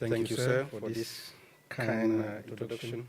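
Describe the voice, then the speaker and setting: With a Cameroonian accent, a man talks at a moderate pace and medium pitch with fairly even intonation, amid noticeable background noise and audible room echo. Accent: French-speaking Cameroonian. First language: French. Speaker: agricultural researcher. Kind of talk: conference presentation. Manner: halting.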